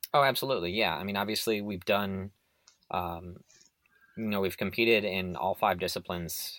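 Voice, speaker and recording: Recorded very cleanly against a silent background, a fairly low-pitched man talks at a fairly quick pace with ordinary pitch variation. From US Midwest, Illinois. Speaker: university cycling coach. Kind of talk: interview. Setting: recorded interview. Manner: hesitant, many fillers.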